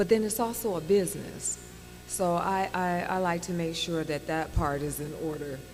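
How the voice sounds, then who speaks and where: A woman at a fairly low pitch and moderate pace with a slight Indiana accent and ordinary pitch variation, with audible room echo and music in the background. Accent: slight Gary, Indiana. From Gary, Indiana, US Midwest. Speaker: actress. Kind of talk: interview.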